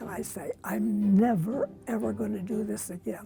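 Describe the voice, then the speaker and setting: Music behind a woman speaking at a moderate pace. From US Upper Midwest, northwestern Minnesota. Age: 90s. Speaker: senior runner. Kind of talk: casual interview.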